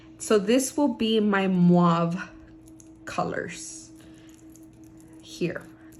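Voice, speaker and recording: Animated woman's voice of medium pitch, with ordinary pitch variation and noticeable background noise. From Southern California. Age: 30s. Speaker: lifestyle and budgeting vlogger. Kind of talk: casual vlog talk to camera. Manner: animated, chatty.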